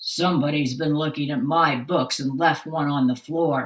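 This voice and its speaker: A woman puts on a character voice that is very deep, low and raspy, speaking at a moderate pace with ordinary pitch variation. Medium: read story. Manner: grumbling.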